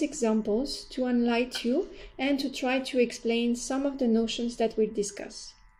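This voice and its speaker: A woman's high voice with a dark, mellow tone, a French accent, ordinary pitch variation and a fairly slow pace. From France. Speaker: university lecturer in anthropology. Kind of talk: course introduction lecture. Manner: formal.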